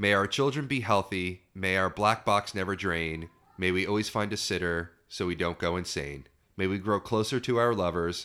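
A man speaks at a moderate pace with a fairly low pitch and ordinary pitch variation. His tone is bright and sharp, in a very clean recording with a silent background. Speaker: podcast co-host, parent. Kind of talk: casual chat. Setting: home recording.

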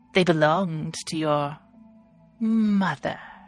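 A put-on character voice sits at a middle pitch and moves at a fairly slow pace. Faint music plays in the background. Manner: eerie, echoing.

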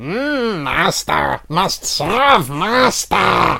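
A man speaks high in pitch while putting on a character voice. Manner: servile, croaky.

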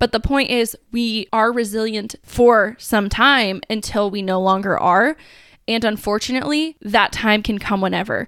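An ordinary speaking voice, a woman's, fairly high in pitch, moderate in pace, fairly even intonation, very clean recording with a silent background. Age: 20s. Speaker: personal trainer and podcast host. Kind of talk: solo podcast talk. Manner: casual, chatty.

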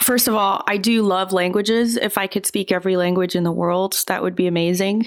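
A woman talks in a plain, everyday voice at a medium pitch, with hardly any pauses. Her intonation stays fairly even and her loudness very even. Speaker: online content creator and filmmaker. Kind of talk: casual interview chat.

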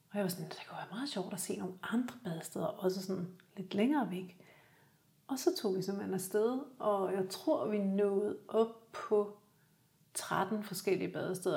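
At a moderate pace, a woman speaks in a medium pitch with a dark, mellow, somewhat breathy tone and fairly even intonation. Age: 50s. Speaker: graphic designer and photographer, winter swimmer. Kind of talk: casual interview chat. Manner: halting, repeats words.

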